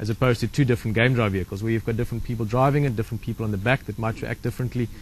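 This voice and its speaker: A man is speaking. His voice is somewhat breathy. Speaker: safari guide. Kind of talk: casual chat. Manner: fast.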